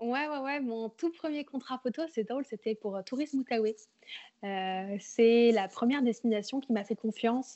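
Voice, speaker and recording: Using an ordinary speaking voice, a woman talks at a fairly slow pace in a fairly high pitch with ordinary pitch variation. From France, Berry (Bourges). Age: 20s. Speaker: freelance photographer and videographer. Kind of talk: casual interview.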